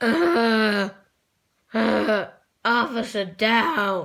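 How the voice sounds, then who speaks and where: A female-sounding cartoonish character voice pitched fairly high. The recording is very clean, with a silent background. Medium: puppet. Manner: nervous, hesitant.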